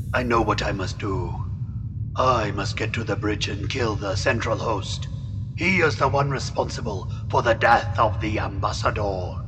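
Someone puts on a character voice at a moderate pace. Loud background noise fills the clip. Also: man, fairly low pitch for a man. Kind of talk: archaic formal speech. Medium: audio drama. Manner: formal, dignified.

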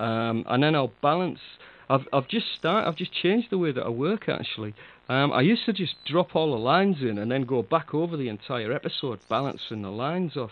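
This man's voice sits at a fairly high pitch. It makes very wide pitch swings. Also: fairly quick pace. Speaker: audio drama producer and podcast co-host. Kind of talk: casual chat. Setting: online chat call. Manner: laughs often, chatty.

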